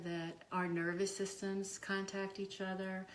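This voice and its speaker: There is audible room echo. A woman speaks at a medium pitch and a fairly slow pace. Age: 60s. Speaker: psychotherapist and university faculty. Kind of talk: casual interview. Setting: in her home. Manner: halting, with fillers.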